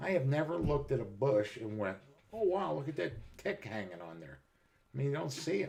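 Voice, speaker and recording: Speaking at a fairly quick pace, a man uses a medium pitch with vocal fry. His pitch swings very widely, and his loudness shifts in big swings. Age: 60s. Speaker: live streamer, military veteran. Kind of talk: casual chat.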